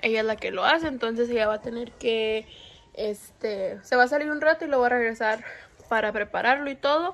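A woman speaks at a moderate pace with a fairly high voice. Her pitch varies in an ordinary way. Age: 20s. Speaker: vlogger. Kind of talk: casual talk to camera. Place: home room. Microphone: phone near.

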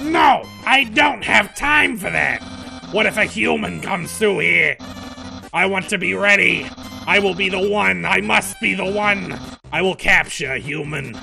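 Against clear background noise, a man puts on a character voice at a high pitch and a moderate pace. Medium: role play. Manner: loud, grandiose.

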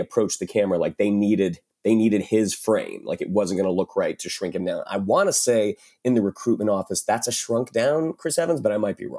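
On a very clean recording with a silent background, a man with a dark, mellow tone speaks at a fairly quick pace. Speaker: actor and writer. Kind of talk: casual film discussion. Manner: animated, laughs often.

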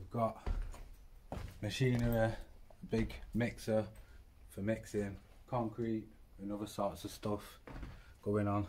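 Over light background noise, a somewhat breathy man speaks at a fairly low pitch and a fairly slow pace in a monotone, flat intonation. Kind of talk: casual vlog chat. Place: factory. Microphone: phone near.

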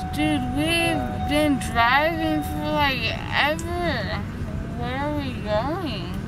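A woman talks at a very slow pace, the sound dry with no echo. Music plays in the background. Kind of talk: casual vlog chat. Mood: playful, whiny, theatrical. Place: car.

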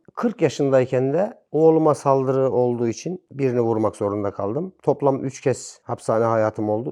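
A dark, mellow tone with ordinary pitch variation sits over a quiet background. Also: man. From Kırıkkale, central Turkey. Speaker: former prisoner. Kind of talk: casual interview, personal storytelling.

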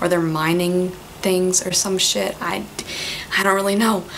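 Over noticeable background noise, a woman with a medium-pitched voice speaks at a moderate pace. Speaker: book vlogger and university student. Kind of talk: casual vlog. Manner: animated.

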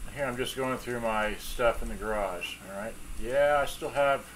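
The speech moves at a moderate pace. Light background noise can be heard. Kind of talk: tutorial. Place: workshop.

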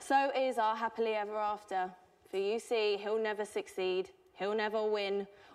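A woman's monotone, flat delivery at a moderate pace against a quiet background. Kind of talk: performed poem monologue. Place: stage. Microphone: camera far.

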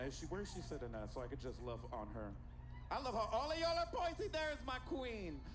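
A man's voice over noticeable background noise. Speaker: event host, emcee. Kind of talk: stage hosting banter. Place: stage. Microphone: handheld.

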